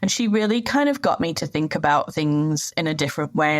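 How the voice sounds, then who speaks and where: With a British accent, a woman talks at a moderate pace in a very deep, low voice. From UK. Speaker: sustainability manager. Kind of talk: interview. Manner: hesitant fillers.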